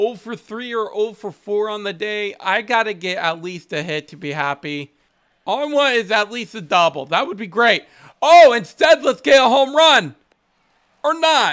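Pitch swings very widely as a man speaks at a fairly slow pace. The background is quiet. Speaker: gaming streamer. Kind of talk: gameplay commentary. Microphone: headset.

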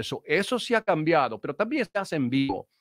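A man with an English accent and a high pitch speaks at a moderate pace in a dry sound with no echo and a quiet background. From Chicago. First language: English (speaking Spanish). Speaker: sales trainer and speaker; guest. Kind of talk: interview. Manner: halting. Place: studio. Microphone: video call.

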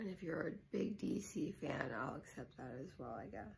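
Through noticeable background noise, a woman can be heard talking at a moderate pace. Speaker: YouTuber. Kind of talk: casual vlog. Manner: hesitant with fillers.

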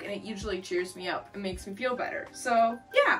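Faint music plays in the background. A woman talks at a very fast pace with ordinary pitch variation. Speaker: goth makeup youtuber. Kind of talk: casual vlog chat. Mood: cheerful, chatty. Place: home room. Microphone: camera far.

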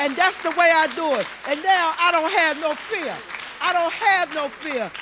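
A woman's extremely high-pitched voice at a moderate pace, with crowd noise behind her. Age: 60s. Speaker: audience member. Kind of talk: audience question. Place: hall. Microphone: handheld.

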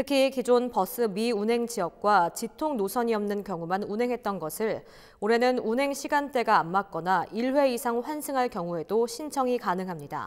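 A normal speaking voice with lively intonation moves at a moderate pace with hardly any pauses, captured in a very clean recording with a silent background. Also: woman, fairly high pitch for a woman. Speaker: news anchor. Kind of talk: news reading. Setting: studio.

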